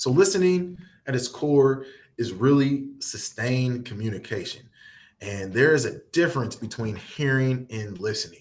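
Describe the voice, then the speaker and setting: Speaking at a moderate pace, a man with a Midwestern accent has a somewhat breathy, medium-pitched voice and lively intonation. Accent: Midwest twang. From US Midwest. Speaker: workshop facilitator. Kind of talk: workshop presentation. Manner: repetitive, self-correcting.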